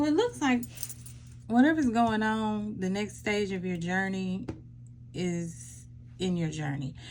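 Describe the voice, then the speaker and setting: Speaking fairly slowly in a room with audible echo, a woman swings her pitch very widely and leaves long, frequent pauses. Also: medium pitch for a woman. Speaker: tarot card reader. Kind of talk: pick-a-card tarot reading. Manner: loud.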